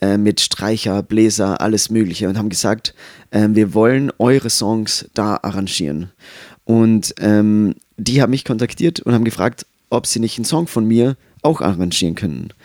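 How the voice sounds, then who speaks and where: On a very clean recording with a silent background and a dry, close sound with no echo, a man speaks at a moderate pace in a fairly low pitch with ordinary pitch variation. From Austria. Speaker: musician. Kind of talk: casual chat.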